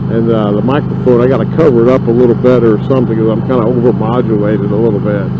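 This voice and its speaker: A man at medium pitch talks at a very fast pace with hardly any pauses, with audible room echo and noticeable background noise. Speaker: motorcycle vlogger. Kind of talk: casual ride vlog narration. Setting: riding a motorcycle outdoors. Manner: loud.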